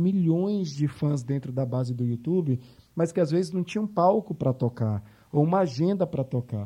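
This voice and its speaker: A dark, mellow, somewhat breathy tone at a moderate pace with lively intonation. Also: man. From Bahia, Brazil (Salvador). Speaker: marketing agency executive. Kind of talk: interview.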